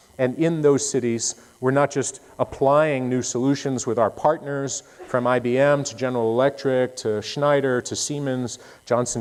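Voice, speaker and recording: The man's voice sits at a medium pitch, and his intonation stays fairly even. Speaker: conference speaker, tech industry director. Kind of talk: conference talk. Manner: fast.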